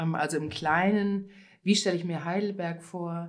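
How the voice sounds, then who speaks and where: Audible room echo surrounds a woman's voice. Her pitch is fairly low and her intonation fairly even. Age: 50s. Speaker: conference interpreter and cycling activist. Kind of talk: interview.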